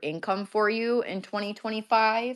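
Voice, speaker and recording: A woman with a Michigan accent at a fairly slow pace. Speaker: event host. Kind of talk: casual live online talk. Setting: online audio space.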